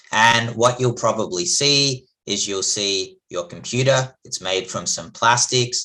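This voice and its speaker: With a bright, sharp tone, a man speaks at a medium pitch and a fairly slow pace, with ordinary pitch variation and hardly any pauses. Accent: Australian. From Australia. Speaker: chemistry professor. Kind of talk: lecture.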